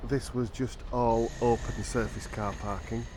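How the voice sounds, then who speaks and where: Amid audible room echo and noticeable background noise, a man speaks in a relaxed tone. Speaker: travel vlogger. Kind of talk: walking vlog narration. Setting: outdoors by the river and canal. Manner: relaxed, conversational.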